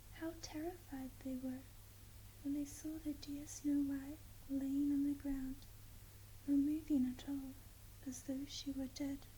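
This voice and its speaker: Whispering and soft-spoken, the voice has a gentle, soothing tone, a fairly slow pace, and long, frequent pauses. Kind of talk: whispered ASMR bedtime story reading. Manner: whispered, softly spoken, gentle, soothing.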